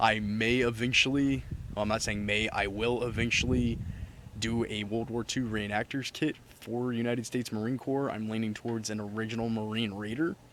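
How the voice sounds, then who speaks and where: The speaker moves at a fairly quick pace in a monotone with flat intonation. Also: man, medium pitch for a man. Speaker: gear reviewer. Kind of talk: product review. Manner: fast; casual.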